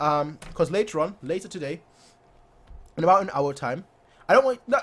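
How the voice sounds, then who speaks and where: In an animated tone, a man talks at a fairly quick pace with very wide pitch swings. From Germany, Munich. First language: German. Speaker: football fan YouTuber. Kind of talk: live stream chat reading comments.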